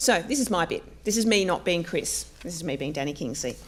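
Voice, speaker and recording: A woman talks at a moderate pace and a medium pitch. Her pitch swings very widely. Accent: Australian. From Australia. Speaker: academic librarian and panel chair. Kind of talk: introductory talk to a live audience. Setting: lecture room with audience. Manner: many filler ums; halting.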